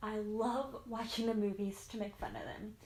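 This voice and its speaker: With an American accent, a woman speaks at a moderate pace and medium pitch. Her voice is somewhat breathy, with monotone, flat intonation. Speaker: YouTuber. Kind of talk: casual Q&A vlog.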